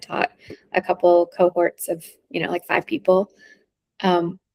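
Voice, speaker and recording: A woman speaks with an American accent at a medium pitch. The sound is dry and close, with no echo. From US South, North Carolina. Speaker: intuitive reader. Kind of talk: casual chat.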